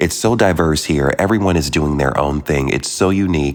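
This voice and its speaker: A man speaks in an animated tone with a very deep, low pitch. Noticeable background noise is present. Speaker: podcast host. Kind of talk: casual monologue. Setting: remote recording while traveling. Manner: fast.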